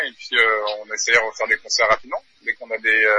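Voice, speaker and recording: Recorded dry and close with no echo, a man talks at a fairly quick pace against noticeable background noise. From New Caledonia. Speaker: metal band drummer. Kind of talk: interview.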